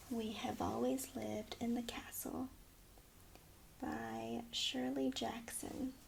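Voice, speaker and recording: Soft-spoken, a woman talks at a very slow pace, with long, frequent pauses. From Taiwan. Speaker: freelance voiceover artist. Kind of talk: casual talk to camera.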